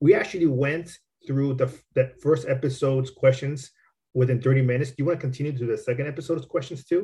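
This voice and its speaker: A man with an American accent, fairly high-pitched, somewhat breathy and dark and mellow in tone, at a very fast pace with fairly even intonation. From Southern California. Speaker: podcast host. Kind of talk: interview. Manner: halting.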